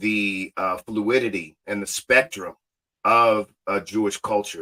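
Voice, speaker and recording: With an American accent, the voice has a bright, sharp tone in a dry, close sound with no echo. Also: man. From Ohio, born Cleveland, raised Cincinnati. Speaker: podcast host and educator. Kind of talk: casual interview chat. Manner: animated.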